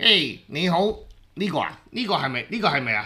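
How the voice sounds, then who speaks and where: In a put-on character voice, the speaker moves at a moderate pace with very wide pitch swings. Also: man, high pitch for a man. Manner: cute, squeaky.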